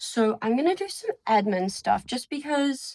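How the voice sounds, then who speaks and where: A woman speaks with a somewhat breathy voice. The sound is dry and close, with no echo. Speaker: student vlogger. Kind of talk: casual vlog talk. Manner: casual, filler-heavy.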